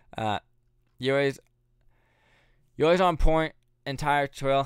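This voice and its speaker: On a very clean recording with a silent background, a man talks very fast. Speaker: YouTube creator. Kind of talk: live stream Q&A. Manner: casual, many filler words.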